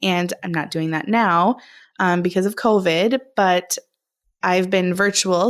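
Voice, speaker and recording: A woman speaks at a fairly slow pace with a Minnesotan accent, her pitch medium. The recording is very clean, with a silent background. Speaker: speech-language pathologist, podcast co-host. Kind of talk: casual chat.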